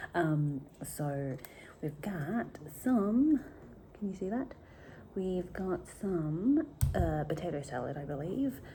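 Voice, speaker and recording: Woman at a fairly low pitch, dark and mellow, somewhat breathy, with very wide pitch swings, a very slow pace and long, frequent pauses. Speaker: vlogger. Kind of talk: casual vlog talk.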